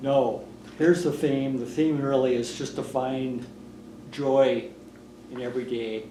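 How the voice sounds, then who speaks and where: A man with a medium pitch and a dark, mellow tone talks at a fairly slow pace with fairly even intonation. Long, frequent pauses break up his speech, and audible room echo surrounds it. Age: 60s. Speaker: retiring foundation director, former newspaper editor. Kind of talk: oral history interview.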